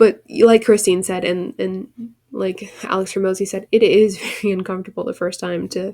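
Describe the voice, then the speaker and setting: This woman has a medium pitch and vocal fry. She speaks at a moderate pace with monotone, flat intonation. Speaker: podcast co-host. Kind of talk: casual podcast conversation. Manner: halting, with frequent restarts.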